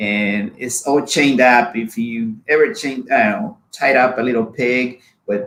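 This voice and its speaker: A man's medium-pitched voice with a Spanish accent. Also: ordinary pitch variation, moderate pace. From Honduras. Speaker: immigrant sharing life story. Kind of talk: personal testimony. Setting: live video show.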